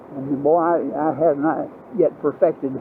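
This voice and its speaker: A man with a Southern US accent is heard with a dry sound, no echo, and light background noise. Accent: Southern US (Georgia). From US South, Georgia. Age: 80s+. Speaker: motorcycle vlogger. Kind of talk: casual ride-along vlog monologue. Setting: outdoors riding a motorbike. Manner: halting, many fillers. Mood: relaxed, reflective. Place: motorbike.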